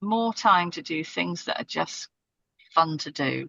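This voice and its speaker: A woman with a British accent speaks at a fairly slow pace in a fairly low voice. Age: 60s. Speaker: podcast guest, strategy and startup professional. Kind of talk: casual interview conversation. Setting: parked in a car on a side street, remote call.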